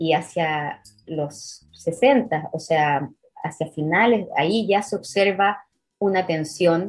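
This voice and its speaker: A woman talks at a very slow pace in a fairly low, somewhat breathy voice. Her pitch varies in an ordinary way. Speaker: historian. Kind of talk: interview.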